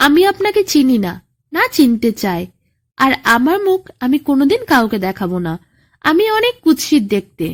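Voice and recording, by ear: A woman uses a put-on character voice with a high pitch and big pitch swings. She speaks at a fairly slow pace.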